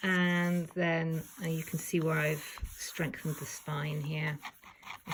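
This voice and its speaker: A woman speaks in a fairly low, somewhat breathy voice. Her intonation stays fairly even. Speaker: junk journal crafter. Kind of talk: casual talk to camera. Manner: rambling.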